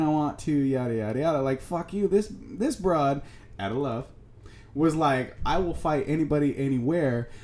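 Speech at a moderate pace runs over music in the background. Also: man. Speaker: podcast co-host. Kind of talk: casual banter podcast. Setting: studio.

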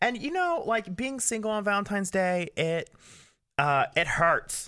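A man's raised, projected voice, high-pitched with a bright, sharp tone and lively intonation. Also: very clean recording, silent background. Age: 20s. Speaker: podcast co-host. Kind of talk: casual chat.

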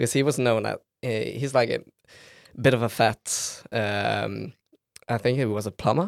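On a very clean recording with a silent background and a dry, close sound with no echo, a man with a Norwegian accent and vocal fry speaks at a medium pitch and a moderate pace, with ordinary pitch variation and long, frequent pauses. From Norway, Bergen. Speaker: philosophy student and campus radio member. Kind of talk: casual chat. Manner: hesitant, many fillers.

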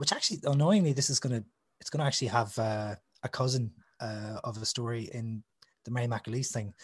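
A man talks at a very fast pace, his medium pitch moving with ordinary variation. His voice is somewhat breathy. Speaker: author and musician. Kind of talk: casual chat.

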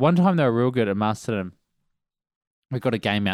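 A man talks at a very fast pace. He speaks with a New Zealand accent. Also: very clean recording, silent background. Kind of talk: casual chat. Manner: laid-back.

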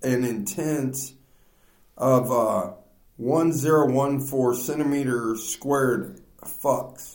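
The pace is very slow. Room echo is audible. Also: man. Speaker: podcast host. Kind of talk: casual chat. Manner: loud.

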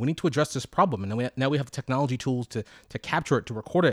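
A man with an American accent at medium pitch and a very fast pace, with ordinary pitch variation, in a very clean recording with a silent background and a dry, close sound with no echo. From Washington, D.C. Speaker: podcast co-host. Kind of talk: casual chat.

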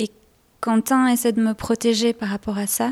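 A woman talks at a fairly slow pace in a fairly high pitch. The sound is dry and close, with no echo. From Belgium. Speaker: folk singer. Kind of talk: interview.

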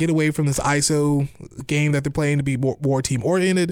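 A man talks at a fairly quick pace in a fairly high pitch. The recording is very clean, with a silent background. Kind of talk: opinionated sports talk radio rant. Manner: animated, excitable, opinionated, with sarcastic digs and hesitant restarts.

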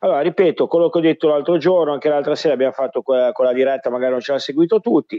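Barely pausing, a man races along at a very fast pace in a fairly high pitch with ordinary pitch variation. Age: 40s. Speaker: football podcast co-host. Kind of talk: casual chat. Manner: halting.

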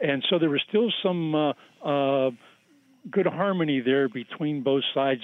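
At a moderate pace, a man with a fairly high pitch and an unremarkable speaking voice shows ordinary pitch variation. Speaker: caller. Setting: phone call.

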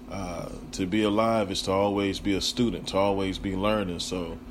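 A man speaks at a low pitch. His intonation stays fairly even. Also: moderate pace.

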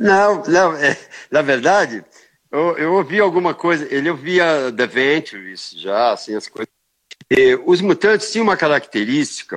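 A man's fairly high voice swings very widely in pitch as he speaks fairly slowly. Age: 60s. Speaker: rock guitarist. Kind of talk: interview. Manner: casual, hesitant with repetitions.

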